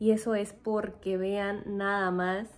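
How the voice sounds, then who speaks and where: This is a woman's voice. Her intonation is flat and monotone. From Mexico. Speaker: vlogger, former nurse; vlogger. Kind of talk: casual vlog talk to camera. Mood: playful, cheerful. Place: home room. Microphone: phone near.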